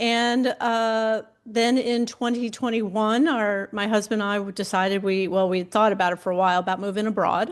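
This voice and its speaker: A woman with a plain, everyday voice and an American accent speaks at a moderate pace and fairly high pitch, with fairly even intonation over a quiet background. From United States. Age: 60s. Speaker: career coach for people over fifty. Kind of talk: podcast interview.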